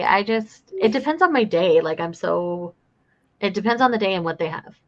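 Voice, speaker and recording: Here a woman speaks at a moderate pace with a medium pitch. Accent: American. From Utah. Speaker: friend on livestream. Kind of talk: casual chat.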